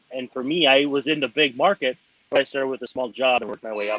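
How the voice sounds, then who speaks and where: This is a man with a normal speaking voice. His pitch varies in an ordinary way. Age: 30s. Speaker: baseball writer. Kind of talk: interview. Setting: at home with child nearby.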